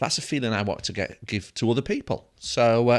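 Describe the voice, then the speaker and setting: Here a man speaks in a northern English accent with ordinary pitch variation. The recording is very clean, with a silent background. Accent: British (north of England). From northern England. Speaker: dental education executive, former nurse. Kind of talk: casual chat.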